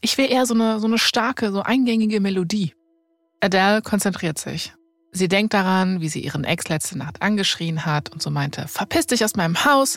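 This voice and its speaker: Music plays in the background as a woman speaks at a moderate pace and medium pitch with ordinary pitch variation. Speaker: podcast host, storyteller. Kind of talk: narrated storytelling in casual conversation.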